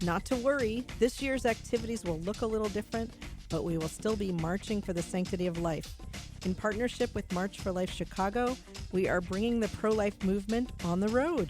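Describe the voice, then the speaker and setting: Music plays in the background. The speech comes at a fairly quick pace with ordinary pitch variation. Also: woman, medium pitch for a woman. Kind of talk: radio promo announcement.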